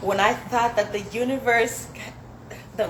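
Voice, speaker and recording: A woman with fairly even intonation, with noticeable background noise and audible room echo. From Zambia, then US. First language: Swahili. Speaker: spoken word poet. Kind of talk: poetry performance. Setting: dinner event, small space.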